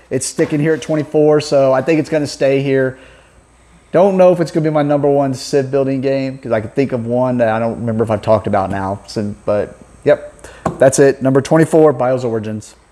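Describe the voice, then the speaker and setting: A man talks at a fairly quick pace with ordinary pitch variation while noticeable background noise carries on behind him. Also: medium pitch for a man. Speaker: board game channel host. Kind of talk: casual chat.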